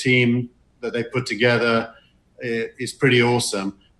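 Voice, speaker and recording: A man's medium-pitched voice at a moderate pace, in a monotone with flat intonation. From Britain. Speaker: venture capitalist. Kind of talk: conference talk. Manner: halting.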